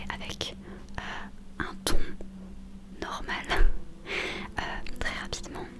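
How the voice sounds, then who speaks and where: Someone whispers at a very slow pace. Noticeable background noise sits behind the voice. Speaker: book reader / ASMR creator. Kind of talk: casual talk to camera. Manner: whispered.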